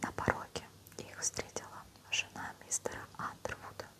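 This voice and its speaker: A woman whispering at a fairly slow pace over noticeable background noise. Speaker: ASMR creator. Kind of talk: audiobook reading. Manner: whispered.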